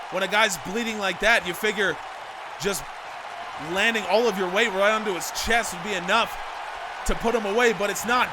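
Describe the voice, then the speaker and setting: A man speaks at a high pitch in a raised, projected voice. Crowd noise sits in the background. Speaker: video game wrestling commentator. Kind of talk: live play-by-play commentary. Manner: animated, excited.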